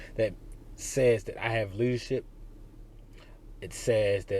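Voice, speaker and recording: At a moderate pace, a man speaks with a somewhat breathy voice. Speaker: career advice vlogger. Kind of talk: casual vlog. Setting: outdoors walking into a job fair.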